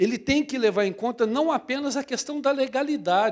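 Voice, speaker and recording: The recording is very clean, with a silent background. A man speaks at a fairly slow pace with lively intonation. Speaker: public audit court president, lecturer. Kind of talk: lecture.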